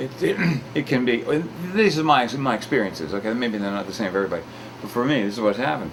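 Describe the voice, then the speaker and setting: Audible room echo and noticeable background noise surround a man whose voice makes very wide pitch swings. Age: 60s. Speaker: talk show host. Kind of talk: casual chat. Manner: halting.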